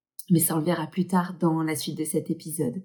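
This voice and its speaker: Somewhat breathy, a woman's voice has a dark, mellow tone. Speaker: hypnotherapist. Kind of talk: casual talk to camera.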